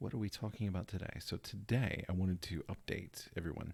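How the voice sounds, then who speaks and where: A man speaks quietly and somewhat breathily at a very deep, low pitch. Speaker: tabletop gaming YouTuber. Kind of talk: casual vlog. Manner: hesitant, many fillers.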